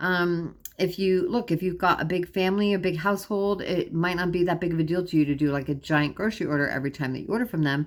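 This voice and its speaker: A woman's animated, very fast speech at a fairly low pitch, with ordinary pitch variation, hardly any pauses and a very clean recording with a silent background. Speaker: lifestyle vlogger. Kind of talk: casual vlog monologue.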